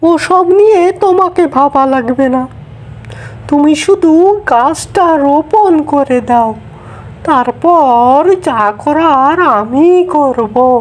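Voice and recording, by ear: A woman's cartoonish character voice, high-pitched and very slow, with very even loudness over clear background noise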